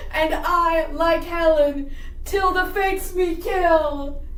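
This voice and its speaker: A put-on character voice at an extremely high pitch and very slow pace, with slight echo. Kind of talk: comic overacting. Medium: stage play.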